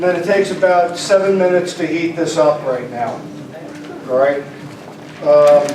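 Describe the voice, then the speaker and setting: With audible room echo and noticeable background noise behind him, a man speaks at a high pitch and a moderate pace, using ordinary pitch variation and long, frequent pauses. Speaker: emergency management official demonstrating food kits. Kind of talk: live product demonstration at legislative meeting. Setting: legislative chamber. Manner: quiet.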